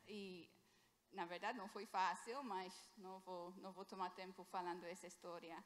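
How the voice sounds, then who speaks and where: Audible room echo surrounds a woman as she speaks. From England. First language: English (speaking Portuguese). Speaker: missionary doctor. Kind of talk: sermon. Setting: church. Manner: halting.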